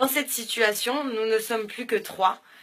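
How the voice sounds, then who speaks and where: Lively in intonation, a woman speaks fairly slowly at a fairly high pitch. Noticeable background noise is present. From southern France (Béziers), born in Morocco. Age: 20s. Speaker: business school student. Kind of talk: personal testimony to camera. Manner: hesitant, many filler sounds.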